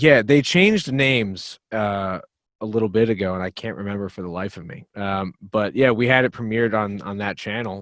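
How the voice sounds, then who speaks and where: In a New Jersey accent, a man with a fairly low pitch speaks at a moderate pace, with ordinary pitch variation and big swings in loudness, over a quiet background. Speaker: metal band drummer and vocalist. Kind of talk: casual podcast interview.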